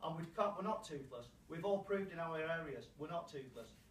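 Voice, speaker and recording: A man with a British accent, high-pitched and fairly quick, with ordinary pitch variation, audible room echo and noticeable background noise. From UK. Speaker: anti-fracking campaigner. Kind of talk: public hearing statement. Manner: impassioned, repetitive.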